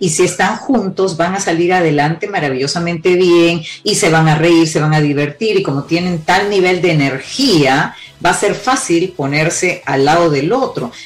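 Amid noticeable background noise, a woman with a fairly low pitch talks at a moderate pace, her loudness very even and her pitch varying in an ordinary way. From Peru. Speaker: couples therapist. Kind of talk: interview.

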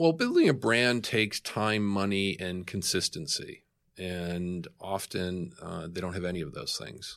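A man's voice sits very deep and low in pitch. He speaks at a fairly slow pace with ordinary pitch variation. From Boston. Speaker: tech company executive. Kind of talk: interview.

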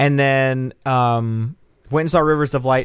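Here a man talks with an American accent. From US South, Nashville, Tennessee. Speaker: podcast co-host. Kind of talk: casual chat. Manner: halting, many repeated words and fillers.

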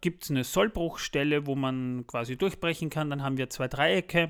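Here a man with an unremarkable speaking voice talks at a fairly high pitch, with ordinary pitch variation. The recording is very clean, with a silent background. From Austria. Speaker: podcast host. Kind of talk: casual chat. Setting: kitchen, later studio.

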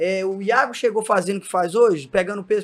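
The recording is very clean, with a silent background. A man speaks in a high voice. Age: 20s. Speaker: CrossFit coach. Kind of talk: casual chat.

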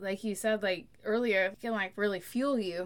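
A woman speaks with an American accent at a fairly high pitch, in an ordinary speaking voice. The recording is very clean, with a silent background. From central Oklahoma. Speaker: podcast co-host, entrepreneur. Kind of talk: casual chat.

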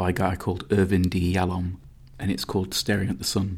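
A man with a Nottingham accent speaks at a fairly quick pace in a very deep, low, monotone voice, recorded very cleanly against a silent background. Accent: Nottingham East Midlands English. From Nottingham, England. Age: 30s. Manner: reflective, hesitant with repeats.

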